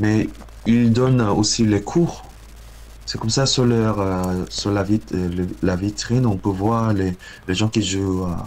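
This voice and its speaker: A man with a Korean accent and a fairly low pitch speaks at a very slow pace, with fairly even intonation and long, frequent pauses. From South Korea. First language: Korean (speaking French). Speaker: guitarist and composer. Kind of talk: interview. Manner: halting, many hesitations.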